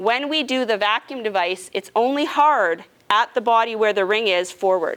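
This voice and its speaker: Using a normal speaking voice with a Canadian accent, a woman speaks at a moderate pace with a fairly high pitch and lively intonation. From Canadian prairies, Regina, Saskatchewan. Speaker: nurse navigator. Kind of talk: educational presentation to a support group. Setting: support group meeting with live audience. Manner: casual, conversational.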